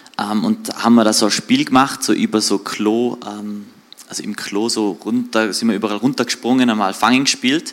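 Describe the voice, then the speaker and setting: A man with a medium-pitched voice talks at a moderate pace with ordinary pitch variation. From Austria, Tyrol (Außerfern, Reutte area). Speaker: church guest giving testimony. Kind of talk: testimony interview. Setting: church livestream.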